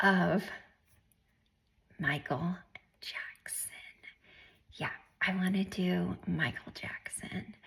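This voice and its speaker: The voice is soft-spoken and very slow. Long pauses come often. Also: woman. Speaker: tarot reader. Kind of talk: tarot reading. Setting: home alone.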